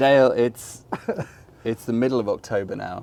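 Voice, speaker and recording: At a moderate pace, a man speaks with an English accent. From England. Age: 40s. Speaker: interviewer. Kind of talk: casual chat. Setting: at guest's home.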